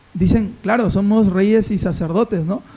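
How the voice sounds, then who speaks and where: This man has a high pitch and a dark, mellow tone. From Peru, Amazon region (Iquitos, Loreto). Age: 30s. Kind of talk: podcast discussion, Bible teaching.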